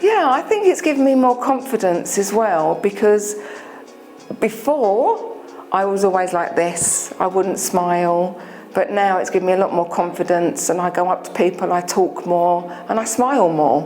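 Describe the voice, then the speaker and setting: With a London accent, a woman speaks at a moderate pace and medium pitch, her loudness very even and her pitch variation ordinary, while music plays in the background. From England, London. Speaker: dental patient. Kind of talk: testimonial interview. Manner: hesitant, many fillers.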